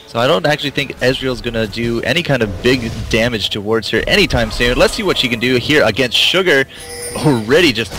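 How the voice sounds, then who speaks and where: Music plays behind a man speaking. He talks at a fairly quick pace with ordinary pitch variation. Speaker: esports caster. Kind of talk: live commentary. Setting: live stream.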